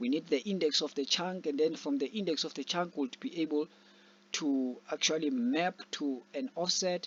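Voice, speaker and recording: Lively intonation marks this man's fairly high voice. He speaks at a moderate pace. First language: not English. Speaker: programming tutor. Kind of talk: tutorial. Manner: halting.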